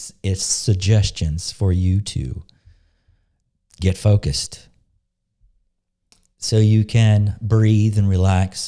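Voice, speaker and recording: Speaking at a very slow pace with long, frequent pauses, a man uses a fairly low pitch, fairly even intonation and a dark, mellow tone, while his loudness swings widely. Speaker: spiritual coach and healing facilitator. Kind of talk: monologue with guided meditation. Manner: casual, conversational; slow and soft when guiding meditation.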